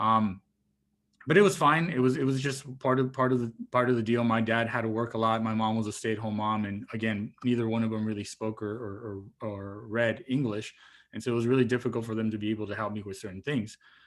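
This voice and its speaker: Here a man speaks with a Spanish accent at a very fast pace. His pitch is medium and his intonation fairly even. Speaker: marine biologist, guest speaker. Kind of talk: talk to students. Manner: casual, with repeated fillers.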